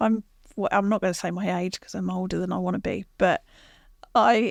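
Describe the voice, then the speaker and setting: A woman speaks quietly at a fairly quick pace with a southern English accent, her medium-pitched voice showing ordinary pitch variation and vocal fry, in a very clean recording with a silent background and a dry, close sound with no echo. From southern England, Watford. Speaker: sales executive. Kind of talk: interview. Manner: considered.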